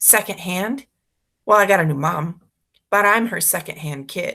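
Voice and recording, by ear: The background stays quiet. This is reading aloud in a natural voice.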